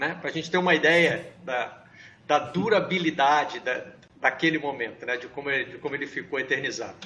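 With an unremarkable speaking voice, a man talks at a fairly quick pace, fairly high in pitch and with ordinary pitch variation. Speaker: sports journalism show host. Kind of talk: casual panel discussion. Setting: video call from home.

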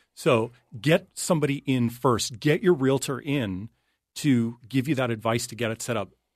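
Over a quiet background, a man talks in an unremarkable speaking voice. His pitch is medium, and it varies in an ordinary way. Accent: Canadian. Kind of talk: casual chat. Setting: studio.

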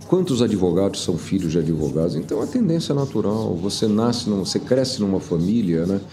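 Over noticeable background noise and audible room echo, a man talks at a fairly quick pace. His pitch is fairly low. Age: 70s. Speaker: former businessman. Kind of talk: interview.

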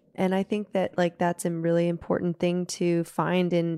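A woman's unremarkable speaking voice with an American accent, fairly low and at a moderate pace, on a very clean recording with a silent background and a dry, close sound without echo. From US South, Nashville, Tennessee. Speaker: singer-songwriter. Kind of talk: casual chat.

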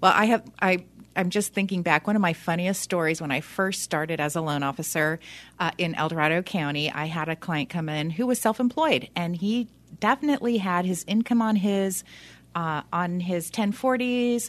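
With an ordinary speaking voice, a woman talks at a moderate pace in a fairly low pitch with lively intonation against a quiet background. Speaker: loan officer. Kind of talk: casual expert conversation on radio. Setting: radio studio.

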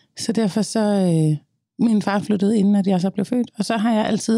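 A dark, mellow tone at a fairly quick pace, with ordinary pitch variation, on a very clean recording with a silent background. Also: woman. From Denmark, Copenhagen (Østerbro). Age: 30s. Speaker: singer and social media creator. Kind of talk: interview, personal conversation.

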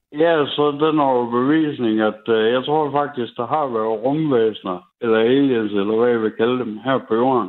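With a plain, everyday voice, a man speaks at a fairly slow pace with hardly any pauses and ordinary pitch variation. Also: medium pitch for a man. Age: 30s. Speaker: radio caller. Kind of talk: storytelling.

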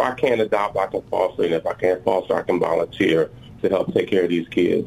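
Against noticeable background noise, a man with an American accent talks at a fairly quick pace. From Illinois. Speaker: county judge. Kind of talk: radio interview.

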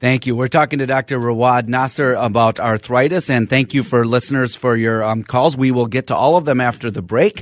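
Talking at a fairly quick pace with an American accent, a man uses a normal speaking voice of medium pitch and ordinary pitch variation. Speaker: physician and radio host. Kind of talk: call-in radio health talk. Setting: radio studio.

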